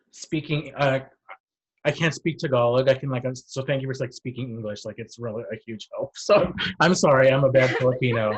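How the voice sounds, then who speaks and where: A fairly quick delivery in a Californian accent, with ordinary pitch variation and big swings in loudness. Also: man, medium pitch for a man. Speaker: entertainment interviewer. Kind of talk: casual interview. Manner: casual, filler-heavy.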